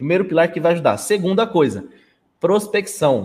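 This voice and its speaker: At a moderate pace, a man speaks in a high pitch. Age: 20s. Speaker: management systems consultant. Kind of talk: live stream interview.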